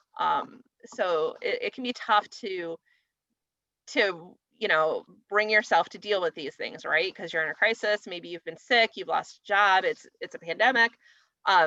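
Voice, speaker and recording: A woman's bright, sharp tone comes through dry and close with no echo, with big swings in loudness. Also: medium pitch for a woman, ordinary pitch variation, fairly slow pace. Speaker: legal aid attorney. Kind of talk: webinar presentation and Q&A. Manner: filler-heavy, many ums.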